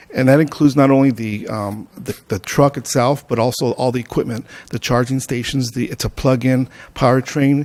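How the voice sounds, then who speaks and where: Intonation stays fairly even as the words come at a fairly quick pace. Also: man, medium pitch for a man. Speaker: air quality agency presenter. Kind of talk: public meeting presentation. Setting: city council meeting. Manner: fast.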